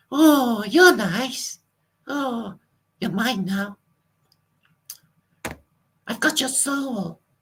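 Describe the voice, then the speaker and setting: In a put-on character voice with fairly high pitch, the speaker goes at a very slow pace with long, frequent pauses. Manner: menacing, playful.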